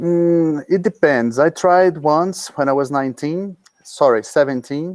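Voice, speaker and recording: This man speaks with a Portuguese accent at a fairly high pitch. His pace is fairly slow and his pitch variation ordinary. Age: 30s. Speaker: paragliding pilot. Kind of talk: interview. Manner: halting.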